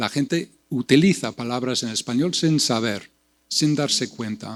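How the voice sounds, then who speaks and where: With a non-native accent, the speaker talks at a fairly slow pace with ordinary pitch variation. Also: man. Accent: foreign accent in Spanish. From US Midwest, Iowa. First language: English (speaking Spanish). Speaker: poet and translation professor. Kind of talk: panel discussion. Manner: halting, many repetitions.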